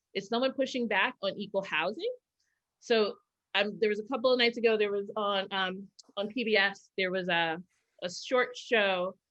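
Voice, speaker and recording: With an American accent, a woman talks at medium pitch and a moderate pace, using ordinary pitch variation. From New York. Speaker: keynote speaker. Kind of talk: keynote Q&A discussion. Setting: video call. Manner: loud.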